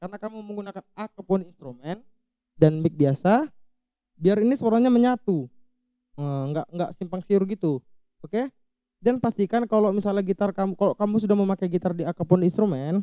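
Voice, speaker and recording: A man's high, shrill voice with a dark, mellow tone, ordinary pitch variation and a fairly quick pace, in a dry, close sound with no echo. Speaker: YouTuber, audio gear tutorial maker. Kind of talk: tutorial. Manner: casual, conversational.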